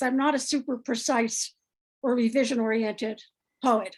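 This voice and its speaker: At a moderate pace, a woman speaks in an American accent with a high pitch. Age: 60s. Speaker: poet. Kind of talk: panel discussion after a poetry reading.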